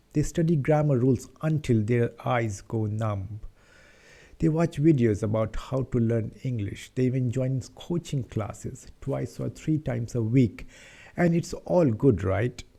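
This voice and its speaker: With an Indian accent, a man at medium pitch speaks at a fairly slow pace in a dark, mellow, somewhat breathy tone with ordinary pitch variation, on a very clean recording with a silent background. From India, Patna, Bihar. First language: Hindi. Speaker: English-speaking YouTuber. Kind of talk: casual talk to camera, personal story.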